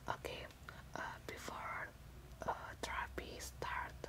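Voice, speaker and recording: Speaking in a whisper, a woman goes along at a fairly slow pace. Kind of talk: soft-spoken role-play, addressing viewer. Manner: soft close ASMR voice. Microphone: webcam.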